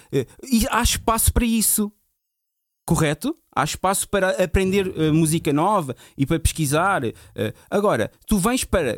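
The voice moves at a moderate pace with very wide pitch swings, dry and close with no echo, on a very clean recording with a silent background. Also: man. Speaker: DJ. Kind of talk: casual chat.

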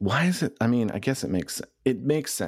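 The recording is very clean, with a silent background. A man with vocal fry speaks at a fairly quick pace, and his pitch swings very widely. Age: 30s. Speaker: podcast host and newspaper editor. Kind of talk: casual chat; interview.

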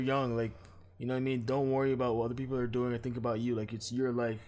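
A man talks at a very fast pace with flat, monotone intonation. Audible echo fills the room. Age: 20s. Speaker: podcast co-host. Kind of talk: casual chat.

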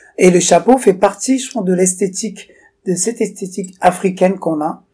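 Here a man speaks in a high voice. His pace is fairly quick. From Togo. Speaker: fashion entrepreneur. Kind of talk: casual interview. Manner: halting.

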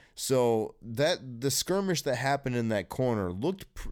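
In an American accent, a man talks at a fairly slow pace with lively intonation and medium pitch. It's an ordinary speaking voice on a very clean recording with a silent background. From US Midwest (East Lansing, Michigan). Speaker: podcast host. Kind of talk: casual chat.

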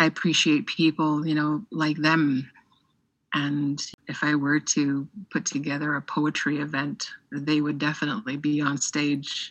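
A woman's very deep, low pitch at a fairly slow pace, with monotone, flat intonation. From Navajo Nation, Arizona. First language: Navajo. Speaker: poet. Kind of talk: interview.

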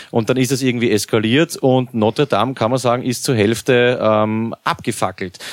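In a dry, close recording with no echo, a man with a plain, everyday voice speaks at a medium pitch with fairly even intonation. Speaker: podcast host. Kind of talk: casual chat.

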